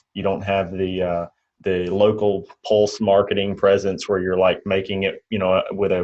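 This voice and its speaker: Speaking with a Mississippi accent, a man keeps a fairly low pitch and a monotone, flat intonation. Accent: Mississippi drawl. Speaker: insurance agent trainer, channel host. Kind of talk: casual interview chat.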